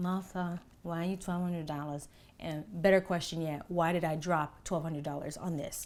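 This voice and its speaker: Using a put-on character voice, a woman mumbles at a fairly slow pace with fairly low pitch and monotone, flat intonation. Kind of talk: casual, conversational vlog style. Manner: mumbling.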